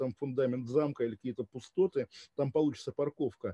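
A man's very fast speech, fairly high in pitch, dark and mellow in tone, with ordinary pitch variation and a dry, close sound with no echo. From Russia, Kaliningrad. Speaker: journalist. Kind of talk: interview.

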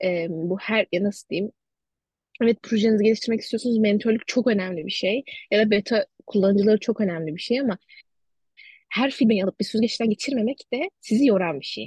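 A somewhat breathy woman's voice, fairly high in pitch with ordinary pitch variation, at a fairly quick pace in a dry, close sound with no echo. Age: 20s. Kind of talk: casual interview chat.

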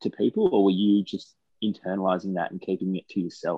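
Here a man speaks with an Australian accent. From Australia, Taree NSW. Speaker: podcast co-host, mental health campaigner. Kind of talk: casual interview chat; scripted intro.

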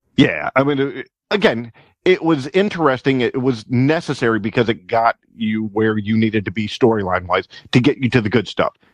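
Against a quiet background with a dry, close sound and no echo, a man with an unremarkable speaking voice talks at a fairly quick pace, with a medium pitch and lively intonation. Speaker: podcast co-host. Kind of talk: casual banter.

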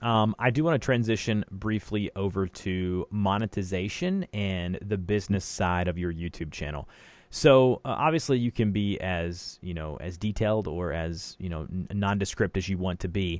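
A man with an unremarkable speaking voice talks at a moderate pace with hardly any pauses, fairly low in pitch with ordinary pitch variation. The recording is very clean, with a silent background. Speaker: podcast host. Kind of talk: interview conversation. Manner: rambling, filler words.

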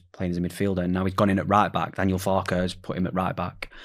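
Someone speaks in a Yorkshire accent at a very fast pace. The recording is very clean, with a silent background. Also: man. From Sheffield, England. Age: 20s. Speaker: football academy recruitment manager. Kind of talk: casual discussion.

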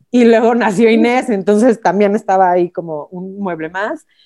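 Lively intonation runs through a woman's dark, mellow, medium-pitched voice as she speaks at a fairly slow pace. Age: 30s. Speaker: finance administrator and mother. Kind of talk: casual chat.

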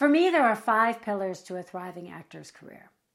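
A woman with an American accent swings her pitch very widely in a very clean recording with a silent background. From United States. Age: 50s. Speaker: actor and acting career coach. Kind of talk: vlog-style tutorial to camera. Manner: animated.

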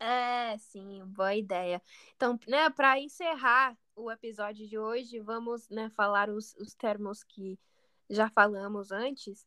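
A woman speaks at a very slow pace in a bright, sharp tone, recorded very cleanly against a silent background. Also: fairly high pitch for a woman, ordinary pitch variation, big swings in loudness. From United States. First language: English (speaking Portuguese). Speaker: podcast co-host, Portuguese teacher. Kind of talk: casual chat. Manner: halting, many fillers and repeats.

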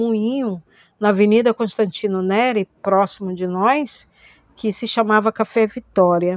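A woman with an unremarkable speaking voice talks at a fairly slow pace, medium in pitch with fairly even intonation. The sound is dry and close with no echo, over a quiet background. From Manaus, Amazonas, northern Brazil. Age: 50s. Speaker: historian, theatre actress and arts educator. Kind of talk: personal testimony. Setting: recorded at home.

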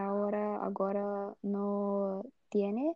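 Speaking with a Brazilian accent, a woman keeps a medium pitch. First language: Portuguese (speaking Spanish). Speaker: student. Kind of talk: casual chat. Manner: halting.

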